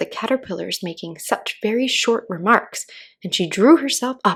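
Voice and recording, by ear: Lively intonation from a natural voice reading aloud.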